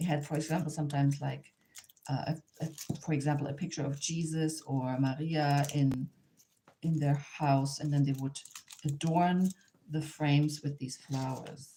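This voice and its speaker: A woman's very deep, low voice in a German accent, monotone and flat, at a moderate pace. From Germany, near the Polish border. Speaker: artist and craft teacher. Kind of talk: live online tutorial. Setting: livestream. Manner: hesitant, with fillers and restarts.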